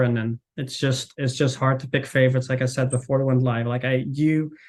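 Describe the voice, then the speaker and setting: A man speaks with a Dutch accent. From Netherlands. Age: 40s. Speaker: marketing manager. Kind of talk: podcast interview. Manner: halting, many fillers and repeats; casual.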